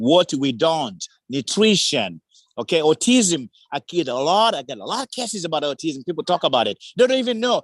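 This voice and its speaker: A man with a Tanzanian accent speaks in an animated tone at a moderate pace, his pitch swinging very widely. The sound is dry and close, with no echo. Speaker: community advocate. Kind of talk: public forum remarks.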